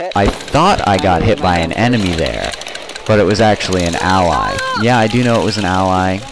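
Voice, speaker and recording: With music in the background and audible room echo, a man speaks at a fairly quick pace in a fairly low pitch, with ordinary pitch variation and very even loudness. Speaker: airsoft player and video commentator. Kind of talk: video commentary voice-over. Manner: casual, conversational.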